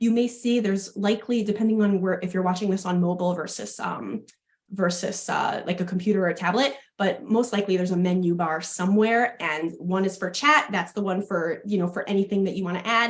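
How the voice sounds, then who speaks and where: A strong New York accent at a fairly quick pace. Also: woman, medium pitch for a woman, ordinary pitch variation. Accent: thick New York. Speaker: fitness education manager and health coach. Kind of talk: webinar presentation.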